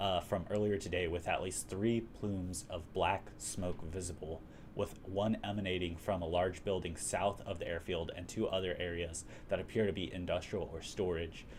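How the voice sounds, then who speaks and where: A man's very deep, low voice with an American accent, somewhat breathy, monotone and flat, at a moderate pace. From Texas. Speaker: livestream host. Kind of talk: casual livestream chat.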